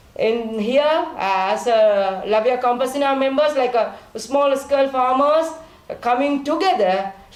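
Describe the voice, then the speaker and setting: In a room with audible echo, a woman with a high pitch speaks fairly slowly, her pitch varying in an ordinary way. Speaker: farmer movement representative. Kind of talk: panel speech. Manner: halting.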